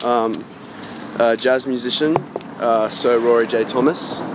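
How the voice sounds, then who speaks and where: With an Australian accent, a man of medium pitch speaks at a fairly slow pace with long, frequent pauses over noticeable background noise. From Australia, Sydney northern beaches. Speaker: musician. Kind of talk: casual interview.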